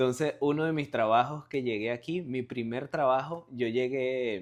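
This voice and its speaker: Spoken in a Venezuelan accent, the voice keeps a fairly slow pace with ordinary pitch variation. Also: man, medium pitch for a man. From Venezuela (Barquisimeto). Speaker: car salesman, watch reseller. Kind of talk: interview, casual chat. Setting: at his home.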